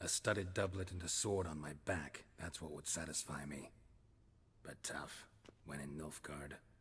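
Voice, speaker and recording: A put-on character voice from a man, pitched very deep and low, delivered at a moderate speed. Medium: video game. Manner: dry, terse, sardonic.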